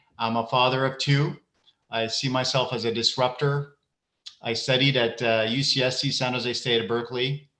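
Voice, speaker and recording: The man's tone is bright and sharp, at a medium pitch. He keeps a moderate pace and fairly even intonation. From Iraq and Ecuador. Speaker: education leader. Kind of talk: keynote speech. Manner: hesitant, many fillers and repetitions.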